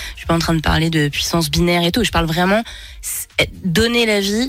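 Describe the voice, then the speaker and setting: With noticeable background noise behind her, a woman speaks at a fairly quick pace and medium pitch, with ordinary pitch variation. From France. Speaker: singer. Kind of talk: radio interview. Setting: radio studio.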